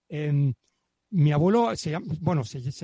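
A man's fairly high, somewhat breathy voice with a dark, mellow tone and a dry, close sound with no echo. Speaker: guest discussing his grandfather's book. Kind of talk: casual chat. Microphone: professional microphone.

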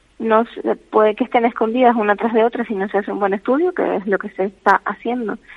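A woman talks at a fairly quick pace in a fairly high pitch. She has an unremarkable speaking voice. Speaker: caregiver's daughter. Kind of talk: radio interview. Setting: phone call. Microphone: bad connection.

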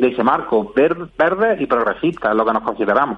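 This is a man speaking. His pace is moderate. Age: 40s. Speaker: party spokesperson. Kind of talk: radio interview. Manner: halting.

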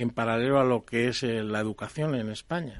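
With a plain, everyday voice, a man speaks at a fairly slow pace with ordinary pitch variation. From Spain, Palencia (Castile). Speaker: water engineering expert. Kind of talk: radio panel discussion.

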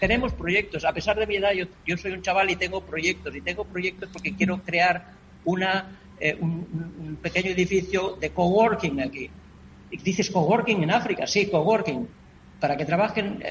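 A man speaks in a high voice at a moderate pace. His intonation stays fairly even over noticeable background noise. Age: 80s+. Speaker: NGO president. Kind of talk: radio interview. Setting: remote connection.

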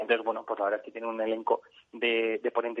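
Talking at a fairly quick pace, a man speaks at medium pitch. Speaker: real estate business executive. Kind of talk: radio interview. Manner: halting.

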